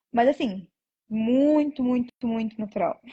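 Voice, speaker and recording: A woman talks with ordinary pitch variation. Her voice is somewhat breathy. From Brazil. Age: 20s. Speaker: nurse. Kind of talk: interview.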